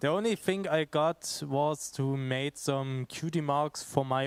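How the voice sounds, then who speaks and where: Speech comes at a very slow pace with fairly even intonation, recorded dry and close with no echo. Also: man. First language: not English. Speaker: audience member. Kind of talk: audience question. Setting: convention panel room. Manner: halting.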